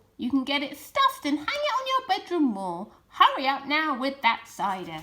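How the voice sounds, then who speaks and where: A woman puts on a character voice. It sits high in pitch. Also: moderate pace. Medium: read story. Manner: curt, commanding.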